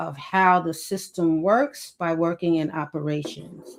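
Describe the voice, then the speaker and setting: A woman speaking at a fairly slow pace in a Brooklyn accent. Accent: Brooklyn New York. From Brooklyn, New York. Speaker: author and former prison caseworker. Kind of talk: podcast interview.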